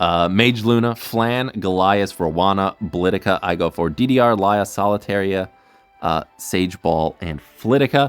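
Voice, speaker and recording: Music plays in the background as a man talks at a fairly slow pace. His pitch is fairly low, with ordinary variation. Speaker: gaming streamer. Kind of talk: live gameplay commentary. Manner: casual, filler-heavy.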